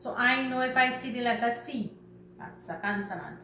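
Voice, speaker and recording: The voice has a Trinidadian accent and ordinary pitch variation. There is noticeable background noise and audible room echo. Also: woman. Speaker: teacher. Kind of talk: lesson for children.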